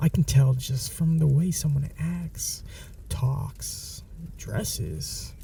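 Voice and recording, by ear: A man's put-on character voice, dark and mellow with vocal fry, lively intonation, and a very slow pace. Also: fairly high pitch for a man.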